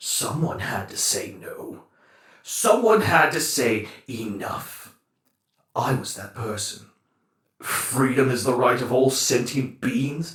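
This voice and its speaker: A man's put-on character voice, fairly high in pitch and fairly slow, with slight echo. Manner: scornful, grandiose.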